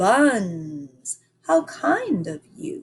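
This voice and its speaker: Using a put-on character voice, a woman speaks with very wide pitch swings. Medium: read story.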